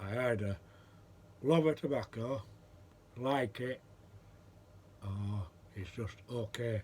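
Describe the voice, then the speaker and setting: A man's medium-pitched voice shows ordinary pitch variation, with noticeable background noise present. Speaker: pipe maker and pipe smoking vlogger. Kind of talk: casual vlog chat.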